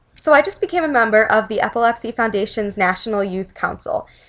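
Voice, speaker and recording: A woman with a Chicago accent, fairly high-pitched, with ordinary pitch variation and a moderate pace, on a very clean recording against a silent background. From US Midwest, Chicago. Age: 20s. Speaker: epilepsy awareness advocate. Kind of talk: personal testimony vlog.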